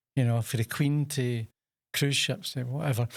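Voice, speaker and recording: Over a very clean recording with a silent background, a man with a Scottish accent talks at a fairly quick pace. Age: 70s. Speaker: chef and takeaway owner. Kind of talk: podcast interview. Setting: studio.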